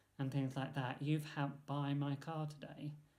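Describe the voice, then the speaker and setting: Fairly high in pitch, a man speaks slowly-ish, fairly slow overall, with a dark, mellow, somewhat breathy tone and monotone, flat intonation. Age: 30s. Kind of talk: vlog monologue. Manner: halting, many fillers.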